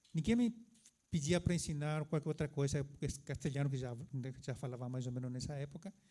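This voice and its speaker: A man with a Paraguayan accent speaks fairly quickly at a fairly high pitch, leaving long, frequent pauses. His tone is dark, mellow and somewhat breathy, with ordinary pitch variation. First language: Guarani (speaking Portuguese). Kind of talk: conference talk.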